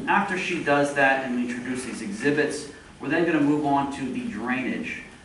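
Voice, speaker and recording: Here a man talks at a moderate pace in a fairly high pitch. The recording carries noticeable background noise and audible room echo. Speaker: applicant's attorney. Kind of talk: public hearing presentation. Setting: municipal meeting room with microphones. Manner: loud.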